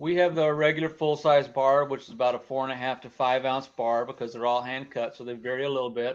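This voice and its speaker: Against a quiet background, a man with an American accent speaks at a fairly quick pace in a monotone with flat intonation. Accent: slight twang, Missouri and Montana. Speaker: goat farmer and soap maker. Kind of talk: casual interview.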